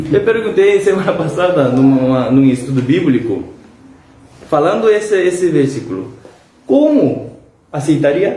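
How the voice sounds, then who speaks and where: A man speaks at a fairly slow pace in a high voice with lively intonation, very even loudness and long, frequent pauses. Noticeable background noise and audible room echo fill the recording. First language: Korean (speaking Portuguese). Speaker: pastor. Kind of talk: bible study. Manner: halting.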